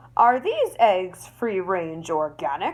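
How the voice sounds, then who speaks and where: Using a put-on character voice, a woman speaks very slowly with a gruff sound at a medium pitch. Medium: read story. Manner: gruff, stern.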